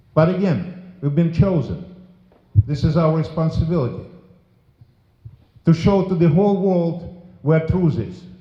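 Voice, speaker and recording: A high-pitched man with a dark, mellow tone and fairly even intonation, speaking at a fairly slow pace with long, frequent pauses amid audible room echo. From former Soviet Union. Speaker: politician. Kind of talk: memorial speech. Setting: memorial service with audience. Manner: forceful.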